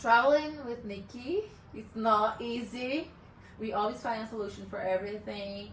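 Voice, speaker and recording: With a Brazilian accent, a woman speaks at a moderate pace in a fairly high pitch, her loudness swinging widely amid audible room echo. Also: ordinary pitch variation. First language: Portuguese. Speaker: remote worker, travel partner. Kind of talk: casual interview. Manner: halting, searching for words.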